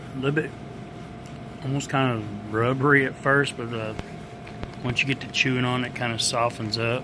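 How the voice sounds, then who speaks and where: A man talks at a moderate pace with fairly even intonation, breaking often for long pauses over noticeable background noise. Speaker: food reviewer. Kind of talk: casual taste-test vlog chat. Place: hall. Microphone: phone near.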